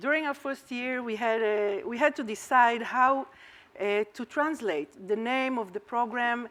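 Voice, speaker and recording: A woman with an Israeli accent, high in pitch, with a bright, sharp tone and ordinary pitch variation. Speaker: academic researcher presenting at a conference. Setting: conference talk.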